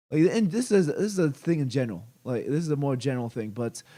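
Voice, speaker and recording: A man speaks at a fairly high pitch with a dark, mellow tone. The recording is very clean, with a silent background. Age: 40s. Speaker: game developer and streamer. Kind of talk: live stream commentary. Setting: live stream. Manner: hesitant, many fillers.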